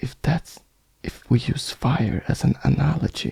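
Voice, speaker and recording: Someone whispers at a very slow pace. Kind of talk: ASMR bedtime talk, rambling philosophical monologue. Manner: soft-spoken, slow, musing.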